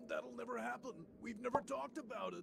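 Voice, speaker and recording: Someone rattles along at a very fast pace in a put-on character voice. Clear background noise is audible. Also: man. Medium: fan dub. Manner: hesitant, awkward.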